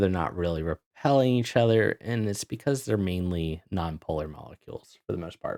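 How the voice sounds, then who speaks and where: Here is a man with an unremarkable speaking voice and lively intonation. He talks at a moderate pace, and the sound is dry and close with no echo. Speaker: chemistry instructor. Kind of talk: exam review session. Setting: video call.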